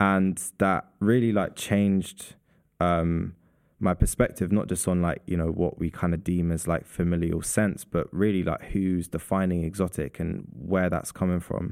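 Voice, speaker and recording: A man speaks with a London accent at a very deep, low pitch. The recording is very clean, with a silent background. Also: fairly even intonation, moderate pace. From London, Southeast London. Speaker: artist and perfumer. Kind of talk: casual interview. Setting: gallery recording space.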